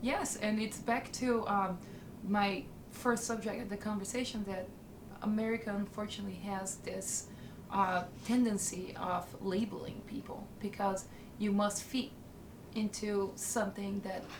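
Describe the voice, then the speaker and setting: Over noticeable background noise and audible room echo, a woman at medium pitch speaks fairly slowly in a monotone, flat way. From northern Italy. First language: Italian. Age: 20s. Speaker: interviewee. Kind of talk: documentary interview. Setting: on camera.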